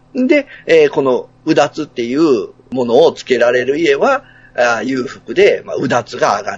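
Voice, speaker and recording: A man speaks at a moderate pace, his loudness swinging widely, with music playing in the background. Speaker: podcaster guest. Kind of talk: casual chat.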